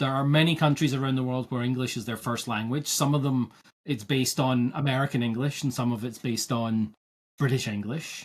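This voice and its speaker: Speaking with a Scottish accent, a man keeps a medium pitch, a fairly quick pace and fairly even intonation. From Scotland. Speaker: agile coach podcast host. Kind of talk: casual podcast conversation. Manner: halting, repeats words.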